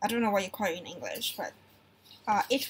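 Light noise hums in the background while a woman talks. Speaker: vlogger. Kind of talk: casual vlog chat, haul show-and-tell. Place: home room. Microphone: webcam.

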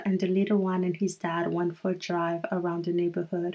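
The background is quiet. A woman is talking. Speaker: family vlogger. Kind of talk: casual vlog chat.

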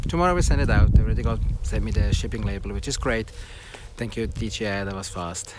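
Over noticeable background noise, a man talks at a fairly quick pace with big swings in loudness, the sound dry with no echo. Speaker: tech vlogger. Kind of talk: casual vlog chat. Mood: upbeat despite device problem. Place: open country. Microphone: phone near.

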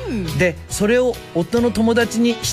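Over clear music in the background, a man with a high pitch speaks at a moderate pace in an upbeat tone. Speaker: radio host. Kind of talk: radio show reading listener messages. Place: studio.

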